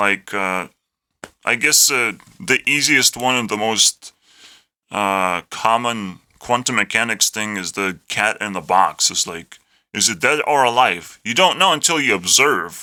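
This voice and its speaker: Bright, sharp tone from a man at medium pitch with an Eastern European accent, lively intonation and a fairly slow pace, on a very clean recording with a silent background. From Lithuania. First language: Lithuanian. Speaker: YouTuber. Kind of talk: unscripted rant monologue. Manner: halting, repetitive.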